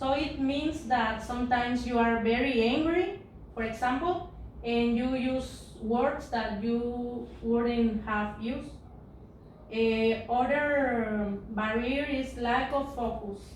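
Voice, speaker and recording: In a Spanish accent, a woman with a high pitch speaks at a very slow pace with fairly even intonation, and the room echo is audible. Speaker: English teacher. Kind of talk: lecture. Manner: halting.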